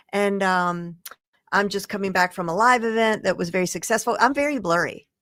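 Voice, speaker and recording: A woman with a Southern accent, medium pitch and ordinary pitch variation at a fairly quick pace. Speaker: digital marketing expert. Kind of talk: casual chat on livestream.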